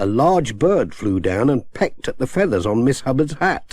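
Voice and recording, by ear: A man talks at a moderate pace with big pitch swings, a slightly mellow tone and a slightly husky edge. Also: medium pitch for a man.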